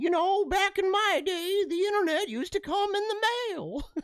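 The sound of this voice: This put-on character voice sits at an extremely high pitch. It moves along at a moderate pace.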